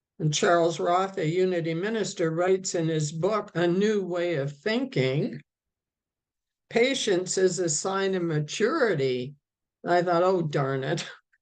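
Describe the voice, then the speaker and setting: A woman with a fairly low voice speaks at a fairly slow pace, with ordinary pitch variation. There is audible echo in the room. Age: 80s+. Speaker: minister. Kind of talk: sermon.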